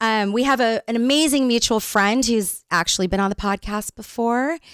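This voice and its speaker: A woman with an American accent and an unremarkable speaking voice talks at a fairly high pitch and a moderate pace, with ordinary pitch variation and very even loudness, on a very clean recording with a silent background and a dry, close sound with no echo. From Northern California. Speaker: podcast co-host. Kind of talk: casual interview chat. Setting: studio.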